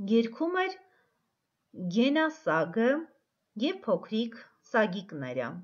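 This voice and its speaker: Speaking at a very slow pace, a woman uses a fairly high pitch with very wide pitch swings and long, frequent pauses. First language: Armenian (speaking Russian). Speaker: teacher. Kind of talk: tutorial; reading aloud.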